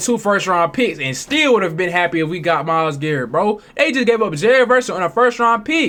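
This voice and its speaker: A man with a raised, projected voice speaks fairly quickly at a high pitch, his tone animated and his intonation lively. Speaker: sports reaction streamer. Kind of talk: casual reaction commentary. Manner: halting, stumbling over words.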